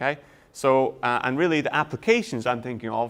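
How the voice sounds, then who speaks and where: A man talks in a Scottish accent. His pitch sits in the medium range. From Scotland. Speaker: university lecturer. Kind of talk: lecture.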